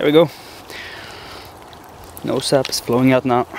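A man speaks in a monotone, flat intonation. The sound is dry with no echo, with light background noise. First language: not English. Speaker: bushcraft outdoorsman. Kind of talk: casual outdoor tutorial talk to camera. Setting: outdoors. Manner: hesitant, with stuttering and many filler words. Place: forest.

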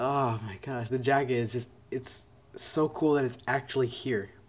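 A somewhat breathy man speaks at a very slow pace with ordinary pitch variation over light background noise. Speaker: speedcuber YouTuber. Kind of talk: casual unboxing talk to camera. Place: home room. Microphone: phone near.

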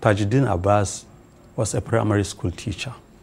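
With fairly even intonation, a man speaks in a fairly low, somewhat breathy voice. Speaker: member of parliament. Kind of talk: TV news interview.

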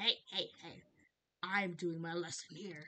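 A female-sounding, put-on character voice holds a middle pitch and a monotone, flat intonation. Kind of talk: comic overacting. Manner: dismissive, stubborn, hostlike.

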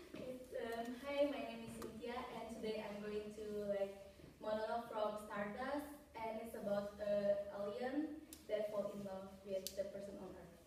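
With a moderate pace and ordinary pitch variation, a woman's voice shows big swings in loudness against light background noise and strong room echo. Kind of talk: audition monologue performance. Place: classroom. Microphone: camera far.

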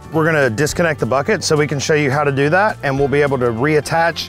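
With faint music in the background, a man speaks with ordinary pitch variation in a dry sound with no echo. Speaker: equipment operator instructor. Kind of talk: tutorial. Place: open country.

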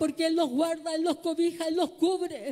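Monotone and flat in intonation, a woman talks at a moderate pace with an extremely high pitch and a dark, mellow tone. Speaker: preacher. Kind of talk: sermon, preacher in full flow, exhorting the congregation. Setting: church with congregation. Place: church. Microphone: handheld.

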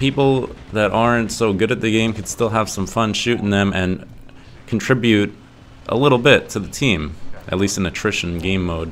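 A fairly low-pitched man at a moderate pace with ordinary pitch variation, music playing in the background. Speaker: gaming YouTuber. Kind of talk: casual game review vlog. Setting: echoey home studio room. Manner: animated.

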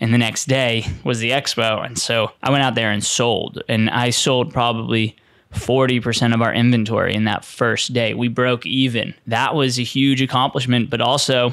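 Over a quiet background, a man speaks at a moderate pace with very even loudness, monotone and flat intonation and hardly any pauses, in a dry sound with no echo. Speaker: podcast host. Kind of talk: storytelling podcast monologue. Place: studio. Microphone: studio mic.

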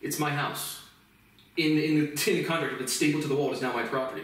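A man's very fast speech with fairly even intonation and audible room echo. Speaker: self-taught lecturer. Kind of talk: casual monologue. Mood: frustrated, ranting. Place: home room. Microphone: camera far.

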